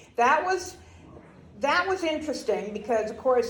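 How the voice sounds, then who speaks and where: Audible room echo surrounds a woman who speaks with an American accent. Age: 70s. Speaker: grandparent interviewee. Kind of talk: oral history interview.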